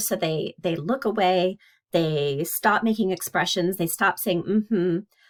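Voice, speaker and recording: Recorded very cleanly against a silent background, a woman of medium pitch speaks with lively intonation. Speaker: psychology instructor. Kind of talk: lecture. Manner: fast; casual, hesitant with fillers.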